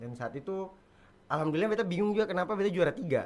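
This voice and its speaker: A man's intonation is lively as he speaks at a very fast pace. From Buton, Southeast Sulawesi (schooled in Makassar). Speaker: stand-up comedian. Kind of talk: podcast interview.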